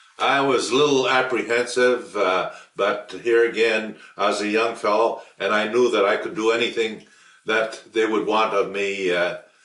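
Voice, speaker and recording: Through noticeable background noise and audible room echo, a man talks at a moderate pace. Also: medium pitch for a man, fairly even intonation. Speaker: war veteran. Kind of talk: oral history interview. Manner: hesitant, with frequent fillers.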